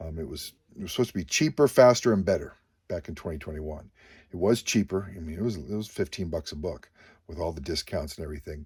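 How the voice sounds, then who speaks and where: In a very clean recording with a silent background, a man with a very deep, low pitch and a somewhat breathy sound talks at a very fast pace, his pitch varying in an ordinary way. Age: 50s. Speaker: comic book dealer and YouTuber. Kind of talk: casual monologue. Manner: halting, many fillers.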